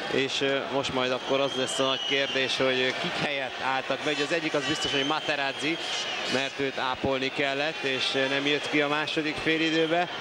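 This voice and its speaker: A man's fairly high-pitched, monotone, flat delivery at a moderate pace with very even loudness, audible room echo and noticeable background noise. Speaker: football commentator. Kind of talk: live commentary.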